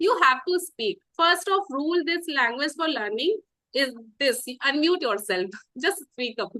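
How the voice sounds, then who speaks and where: Raised and projected, a woman's high, bright, sharp voice moves at a fairly slow pace with very wide pitch swings. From India, Uttarakhand. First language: Garhwali and Hindi. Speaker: English learner and channel host. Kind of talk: casual interview chat. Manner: halting, hesitant.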